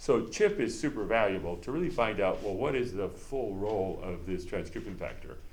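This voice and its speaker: Audible echo from the room surrounds a man as he speaks at a moderate speed. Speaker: university professor. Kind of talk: lecture.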